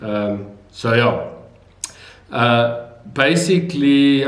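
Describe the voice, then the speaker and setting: A man speaks with a South African accent. Audible room echo surrounds the voice. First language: Afrikaans. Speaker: video blogger. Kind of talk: casual vlog talk. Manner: hesitant, many fillers.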